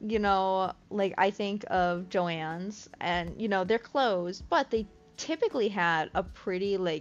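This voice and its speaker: A woman with a Midwestern accent talks at a fairly slow pace with hardly any pauses while music plays in the background. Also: medium pitch for a woman, ordinary pitch variation. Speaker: crochet streamer. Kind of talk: casual live-stream chat. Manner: casual, many fillers.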